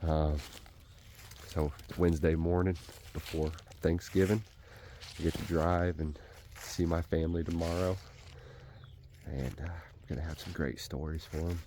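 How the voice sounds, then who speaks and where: A man with a very deep, low pitch and a dark, mellow tone speaks at a moderate pace, leaving long, frequent pauses. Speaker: hunting vlogger. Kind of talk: casual vlog narration. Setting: outdoors. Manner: whispering; animated.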